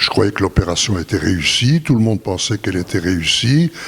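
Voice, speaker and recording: A man speaks with a fairly low pitch. Noticeable background noise is present. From Belgium. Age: 80s+. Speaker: retired businessman. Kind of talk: interview testimony.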